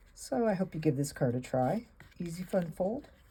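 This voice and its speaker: A woman speaks with a dark, mellow tone and a somewhat breathy quality. Her pitch swings very widely. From Alaska. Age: 60s. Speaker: craft video host. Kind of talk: crafting tutorial. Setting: home craft room. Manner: casual, chatty.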